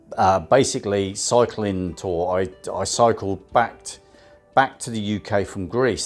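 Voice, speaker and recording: A man's fairly low voice in a Southern English accent, fairly slow pace, fairly even intonation. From Southampton, England. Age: 50s. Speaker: van dweller and cycle tourer. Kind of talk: casual talk to camera.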